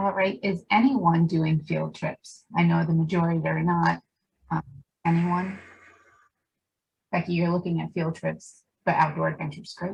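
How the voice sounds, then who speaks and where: A woman talks at a moderate pace, leaving long, frequent pauses. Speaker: roundtable moderator. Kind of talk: online group discussion. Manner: mumbling.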